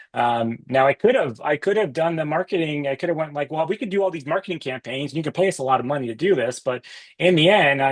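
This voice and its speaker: This is a man talking. His pace is very fast. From US East Coast. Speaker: business author and company founder. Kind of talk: podcast interview.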